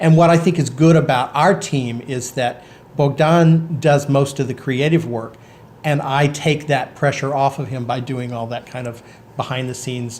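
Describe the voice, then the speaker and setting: The pace is moderate, with fairly even intonation. A somewhat breathy quality runs through the voice. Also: man, fairly high pitch for a man. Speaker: small business co-owner, vlogger. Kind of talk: casual chat. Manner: halting, many repetitions.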